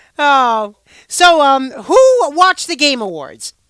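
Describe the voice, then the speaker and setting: A woman's raised, projected voice with an American accent, high in pitch, bright and sharp in tone, with very wide pitch swings. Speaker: live streamer. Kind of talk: casual live stream chat. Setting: live stream on camera. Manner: loud.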